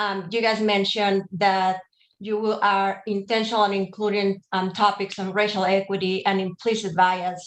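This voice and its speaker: Her medium pitch held in a monotone, flat intonation, a woman speaks. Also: moderate pace. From outside the US. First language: not English. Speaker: advisory council member. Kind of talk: public meeting discussion.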